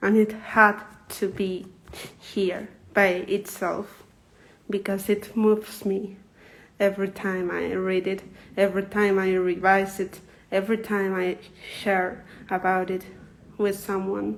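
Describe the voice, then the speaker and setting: Using long, frequent pauses, a woman with a Spanish accent speaks at a fairly slow pace and medium pitch in a monotone, flat intonation. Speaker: poet. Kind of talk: reading aloud. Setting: livestream. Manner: halting.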